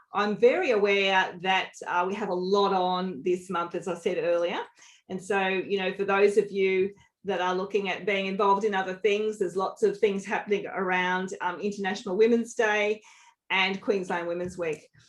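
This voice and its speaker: A woman speaks with an Australian accent at a moderate pace. Her pitch sits in the medium range. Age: 50s. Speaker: leadership coach. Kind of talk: webinar presentation. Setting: online webinar. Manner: animated.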